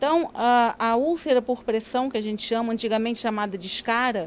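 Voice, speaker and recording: A woman with a Rio de Janeiro accent speaks at a high pitch. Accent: carioca. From Rio de Janeiro, Brazil. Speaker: doctor. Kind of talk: interview. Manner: hesitant with fillers.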